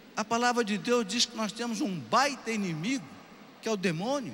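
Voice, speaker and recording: Pitched extremely high for a man, this voice moves at a moderate pace with ordinary pitch variation and audible room echo. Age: 60s. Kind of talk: sermon.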